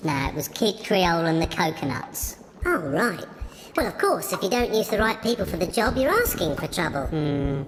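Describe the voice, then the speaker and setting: Using a put-on character voice at a medium pitch, a woman speaks at a moderate pace over clear background noise. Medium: comedy sketch. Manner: matter-of-fact.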